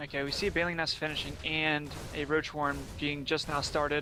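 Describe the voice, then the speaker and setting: With an American accent, a man talks at a fairly quick pace and fairly high pitch while music plays in the background. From Pennsylvania. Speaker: esports caster. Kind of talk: live commentary. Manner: animated.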